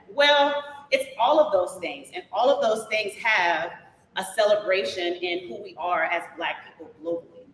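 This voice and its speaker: With noticeable background noise behind her, a woman speaks at a moderate pace in a fairly high pitch. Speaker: dance instructor and performer, teaches twerk fitness classes. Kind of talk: interview answer, energetic and conversational.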